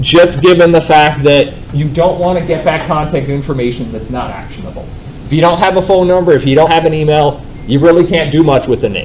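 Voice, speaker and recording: Noticeable background noise and audible room echo surround the speaker. A man talks with a fairly high pitch at a fairly quick pace. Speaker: real estate software trainer. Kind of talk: live training class. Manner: loud.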